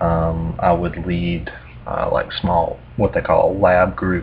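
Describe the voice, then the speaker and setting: A man with a Southern US accent speaks at a very deep, low pitch with ordinary pitch variation, over noticeable background noise. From US South. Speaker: math tutor. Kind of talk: casual explanatory talk. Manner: hesitant, many fillers.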